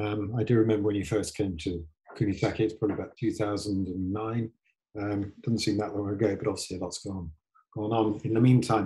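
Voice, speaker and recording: Somewhat breathy with a dark, mellow tone, a man speaks at medium pitch and a fairly quick pace. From UK. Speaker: tour company executive. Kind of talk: online presentation talk. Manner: halting, many ums and restarts.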